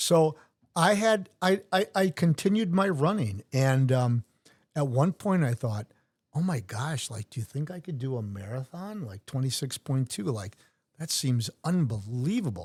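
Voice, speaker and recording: On a very clean recording with a silent background, a man with an American accent speaks at a fairly slow pace in a somewhat breathy, fairly high voice that makes very wide pitch swings. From US Midwest, Wisconsin (Brookfield). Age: 60s. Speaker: retired sheriff's officer and Ironman athlete. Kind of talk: casual interview chat.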